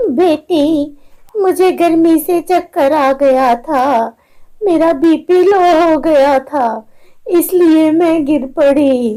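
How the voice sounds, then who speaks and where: In a female-sounding, put-on character voice pitched high, the words come at a very slow pace. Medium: read story. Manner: gentle, motherly.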